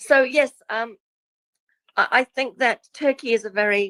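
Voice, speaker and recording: The sound is close and dry, with no echo at all. A woman talks with ordinary pitch variation. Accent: New Zealand. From New Zealand. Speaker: guest speaker on past lives. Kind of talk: casual interview chat.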